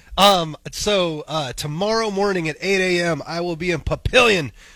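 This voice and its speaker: A man's high voice with ordinary pitch variation and an American accent. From Missouri. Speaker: morning radio co-host. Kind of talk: casual chat. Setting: studio.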